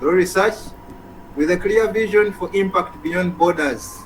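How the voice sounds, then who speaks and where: A man with a high-pitched voice speaks at a moderate pace amid noticeable background noise. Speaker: event host. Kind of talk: speaker introduction.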